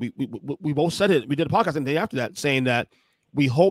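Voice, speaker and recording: Over a quiet background with a dry, echo-free sound, a man talks fairly quickly at a medium pitch with ordinary variation. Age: 40s. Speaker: podcast host. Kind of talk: casual chat. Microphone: studio mic.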